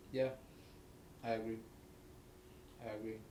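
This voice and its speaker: A man with a medium pitch is heard with audible room echo. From abroad, moved to New York at 15. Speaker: interviewer. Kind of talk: interview. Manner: halting.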